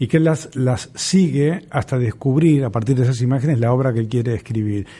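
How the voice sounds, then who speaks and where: The voice moves at a fairly quick pace with a dark, mellow tone. Its intonation is lively, and it sounds somewhat breathy. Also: man. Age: 60s. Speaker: theatre teacher and radio co-host. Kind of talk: casual chat. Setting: studio.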